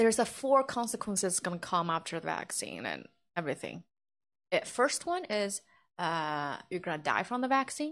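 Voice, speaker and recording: Recorded very cleanly with a silent background, a woman of medium pitch speaks at a moderate pace with very wide pitch swings. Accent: Chinese. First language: Chinese. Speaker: livestream host. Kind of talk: casual livestream chat. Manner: halting.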